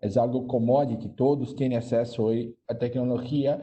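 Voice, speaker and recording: The speaker has a Brazilian accent and monotone, flat intonation. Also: man. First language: Portuguese (speaking Spanish). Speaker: banking digital transformation executive. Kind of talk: panel discussion.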